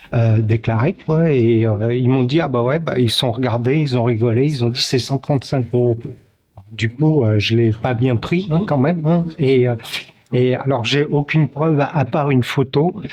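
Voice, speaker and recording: A man speaks at a fairly slow pace in a medium pitch, with ordinary pitch variation and very even loudness, over noticeable background noise. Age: 60s. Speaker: protester. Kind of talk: street interview. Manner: halting, many fillers.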